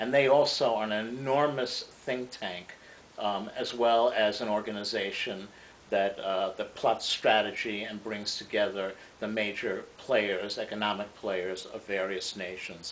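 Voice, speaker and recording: With audible room echo, a man of fairly low pitch talks at a fairly slow pace and with fairly even intonation. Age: 60s. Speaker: economics commentator. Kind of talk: lecture. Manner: halting.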